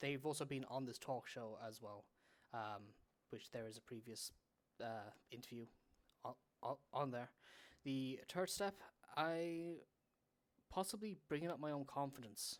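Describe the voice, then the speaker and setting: The speaker mumbles at a fairly slow pace, leaving long, frequent pauses. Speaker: podcaster and streamer. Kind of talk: casual interview chat. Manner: mumbling; halting.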